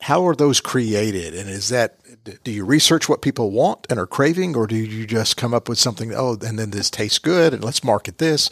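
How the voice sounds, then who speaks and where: A man with an American accent speaks at a medium pitch and moderate pace in a plain, everyday voice with lively intonation. The recording is dry and close with no echo, very clean with a silent background. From United States. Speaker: podcast moderator. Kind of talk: interview. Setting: studio.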